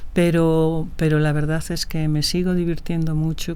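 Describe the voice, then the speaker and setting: Noticeable background noise and audible room echo surround a woman's voice. She speaks at a fairly low pitch with fairly even intonation. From Galicia, Spain (Ferrol). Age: 60s. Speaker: film producer and director. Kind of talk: interview conversation. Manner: hesitant, with frequent fillers and repetitions.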